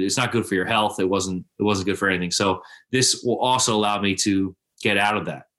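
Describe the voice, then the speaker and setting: A man with an American accent at a fairly quick pace, monotone and flat in intonation, over a quiet background. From suburbs of Philadelphia. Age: 30s. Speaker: lawn care business owner. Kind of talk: casual chat.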